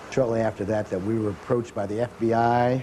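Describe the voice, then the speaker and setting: A man speaks at a fairly low pitch with an American accent. The room echo is audible and there is noticeable background noise. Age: 60s. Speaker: doctor. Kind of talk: documentary interview. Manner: hesitant.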